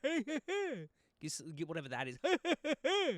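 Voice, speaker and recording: A man mumbles in a put-on character voice at extremely high pitch. His pace is very slow. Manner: mumbling, unintelligible.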